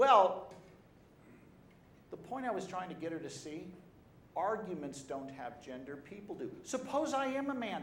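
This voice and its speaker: Audible room echo surrounds a man speaking at a high pitch and moderate pace. His pitch swings very widely, and he takes long, frequent pauses. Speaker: pro-life speaker and debater. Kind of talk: talk to an audience. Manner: animated.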